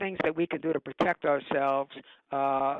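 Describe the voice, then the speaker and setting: A man's voice with fairly even intonation. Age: 60s. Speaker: cookware company founder. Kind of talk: interview. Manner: halting.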